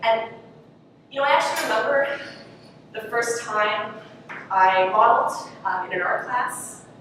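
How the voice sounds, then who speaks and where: Noticeable background noise is heard. A woman talks at a fairly slow pace. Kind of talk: acted monologue. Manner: hesitant, conversational.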